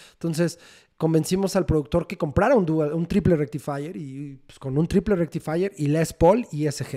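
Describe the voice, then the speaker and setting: A man with a central Mexican accent and a dark, mellow tone, at a moderate pace with ordinary pitch variation, on a very clean recording with a silent background. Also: fairly high pitch for a man. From Mexico City. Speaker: rock band guitarist. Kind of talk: casual interview.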